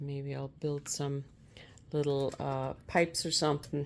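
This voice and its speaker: Soft-spoken and calm, a woman talks in a very deep, low pitch on a very clean recording with a silent background. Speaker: multi-cat owner and channel host. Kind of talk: soft-spoken ASMR vlog talking to cats while preparing their food. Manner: soft-spoken, calm, casual.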